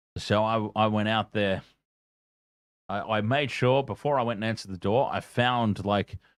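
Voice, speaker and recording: A man with an Australian accent speaks at a moderate pace, his intonation fairly even. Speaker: gaming streamer. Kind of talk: live gameplay commentary. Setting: at home. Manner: loud; casual.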